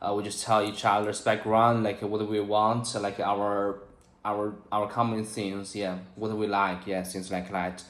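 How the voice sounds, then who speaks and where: Amid audible room echo, a man talks at a fairly low pitch in monotone, flat intonation. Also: fairly slow pace. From China. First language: Chinese. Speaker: English learner. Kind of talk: casual chat. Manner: halting, many fillers.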